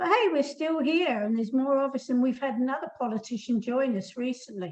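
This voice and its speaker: A woman speaks with an English accent in a high pitch. Her pitch variation is ordinary and her pace moderate. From England. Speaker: koala campaigner. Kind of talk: webinar Q&A.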